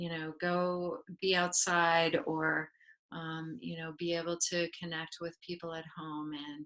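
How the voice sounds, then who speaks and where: At a fairly slow pace, a woman with a fairly low pitch speaks in a calm, bright, sharp tone with monotone, flat intonation. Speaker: family therapist. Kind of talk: webinar interview. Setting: live video webinar.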